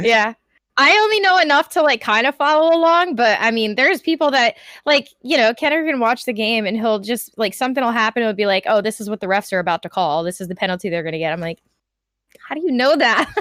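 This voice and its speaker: A woman speaks at a very fast pace with a fairly high pitch, a bright, sharp tone and very wide pitch swings. The recording is very clean with a silent background and a dry, close sound with no echo. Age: 20s. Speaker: podcast guest, military veteran. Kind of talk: casual chat. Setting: live stream.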